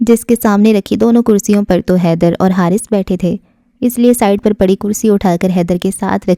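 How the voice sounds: This is a natural reading voice. It is heard on its own here.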